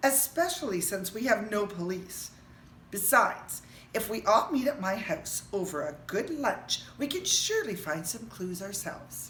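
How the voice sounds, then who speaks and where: A woman uses a put-on character voice at medium pitch and a moderate pace. Clear background noise can be heard. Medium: read story. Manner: calm, reassuring.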